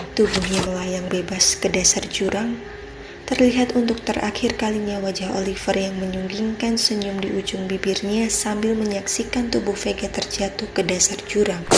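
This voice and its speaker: With noticeable background noise behind her, a woman talks at a moderate pace in a medium pitch with monotone, flat intonation. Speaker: voice actor. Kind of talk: read story. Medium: read story.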